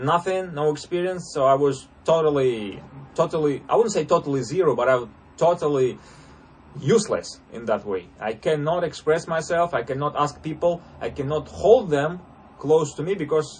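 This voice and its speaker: A man's fairly high voice in a Russian accent, moderate in pace, with ordinary pitch variation. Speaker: interview coach. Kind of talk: casual coaching talk. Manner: halting, many fillers.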